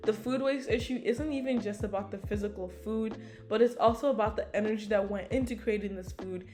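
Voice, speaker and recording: Music plays in the background as a woman speaks at a fairly quick pace. Her pitch is fairly high and her intonation fairly even. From United States. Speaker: YouTuber, sustainability vlogger. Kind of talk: casual vlog commentary. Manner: casual, filler-heavy.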